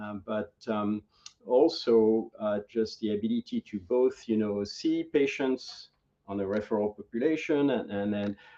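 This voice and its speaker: A man's dark, mellow tone carries ordinary pitch variation at a fairly slow pace. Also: medium pitch for a man. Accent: French. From France, Normandy. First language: French. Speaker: veterinary professor. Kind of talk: interview. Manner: halting, many fillers.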